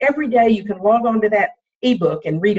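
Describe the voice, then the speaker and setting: A woman speaks at a fairly high pitch. Her voice sounds somewhat breathy. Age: 60s. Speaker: health coach. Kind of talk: team coaching call.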